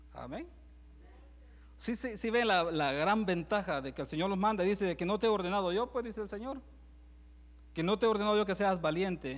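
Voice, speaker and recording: In a very clean recording with a silent background, a man with a high-pitched voice talks at a fairly quick pace. He leaves long, frequent pauses. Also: ordinary pitch variation. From El Salvador. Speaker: preacher. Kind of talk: sermon. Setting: church.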